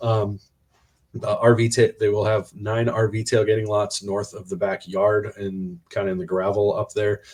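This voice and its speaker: A man's fairly low-pitched voice at a moderate pace, with fairly even intonation. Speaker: college football podcast co-host. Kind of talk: casual chat. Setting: hotel room. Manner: loud.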